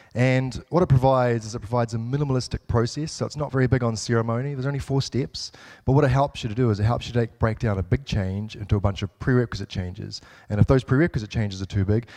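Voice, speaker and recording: In a New Zealand accent, a man speaks at a very fast pace, his medium pitch moving with ordinary variation. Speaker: software developer, conference speaker. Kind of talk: conference talk. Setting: stage with audience. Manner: hesitant, many fillers.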